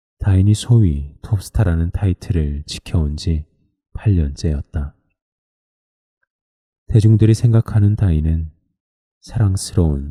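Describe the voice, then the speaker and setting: A man's very deep, low, dark and mellow voice, somewhat breathy, with ordinary pitch variation, very slow pace and long, frequent pauses, dry and close with no echo. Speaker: sleep-book reader. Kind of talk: sleep story book reading.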